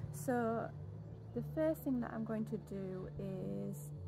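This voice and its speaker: A woman speaks while noticeable background noise sits under her voice. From Yorkshire, England. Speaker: pole fitness instructor. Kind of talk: fitness tutorial instruction. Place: garden.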